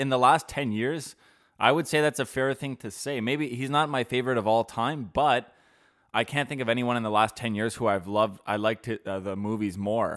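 On a very clean recording with a silent background, a man at medium pitch uses a normal speaking voice, talking at a fairly quick pace with ordinary pitch variation. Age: 20s. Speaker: podcast co-host. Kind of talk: casual chat. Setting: studio.

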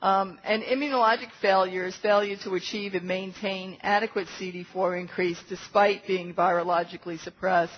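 An ordinary speaking voice with fairly even intonation. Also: woman, medium pitch for a woman, moderate pace. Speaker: physician lecturer. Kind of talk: medical lecture. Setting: conference room with audience.

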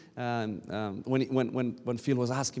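At a medium pitch, a man talks with a Romanian accent. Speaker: pastor. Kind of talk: sermon. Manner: loud; animated.

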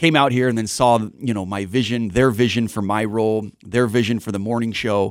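A man with an American accent at a medium pitch, fairly quick in pace, with fairly even intonation. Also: very clean recording, silent background. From Irvine, California. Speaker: TV news anchor. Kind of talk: casual chat. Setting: radio studio. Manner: filler-heavy, hesitant.

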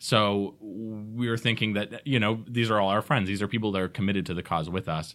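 A plain, everyday voice: a man with an American accent, fairly low pitch, fairly even intonation and a fairly quick pace with hardly any pauses, on a very clean recording with a silent background. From Georgia, US (Atlanta area). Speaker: theater managing director. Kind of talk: casual interview. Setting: studio.

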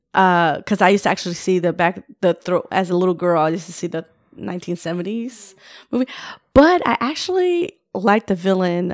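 Here is an unremarkable speaking voice from a woman at medium pitch and moderate pace. The sound is dry and close with no echo. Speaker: podcast guest. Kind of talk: casual chat.

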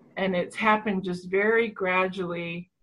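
A woman talks at a fairly slow pace and medium pitch. Her voice is somewhat breathy. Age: 50s. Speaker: online retreat participant. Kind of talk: personal sharing. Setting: video call.

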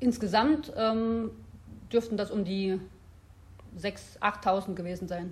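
Somewhat breathy and at a very slow pace, the voice has ordinary pitch variation and long, frequent pauses. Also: woman, medium pitch for a woman. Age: 30s. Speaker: health researcher, professor. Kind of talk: interview.

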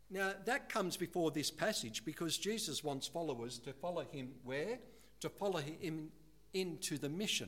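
With an unremarkable speaking voice, a man talks at a moderate pace and a fairly high pitch. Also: lively intonation. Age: 60s. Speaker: guest preacher. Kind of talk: sermon.

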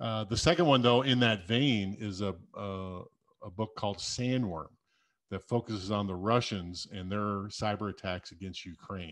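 An ordinary speaking voice with an American accent, moderate pace and ordinary pitch variation. Loudness swings widely, and the recording is very clean with a silent background. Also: man, fairly low pitch for a man. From US Midwest, South Dakota. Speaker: cybersecurity executive and military veteran. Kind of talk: casual interview.

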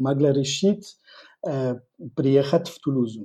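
In a French accent, a man with a dark, mellow tone speaks at a fairly slow pace. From northern France. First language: French (speaking Russian). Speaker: intercultural trainer and lecturer. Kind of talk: interview. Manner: halting, many fillers.

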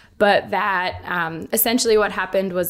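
In a very clean recording with a silent background, a woman with an American accent speaks at a moderate pace and medium pitch. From Boston. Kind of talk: interview conversation. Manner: hesitant with fillers.

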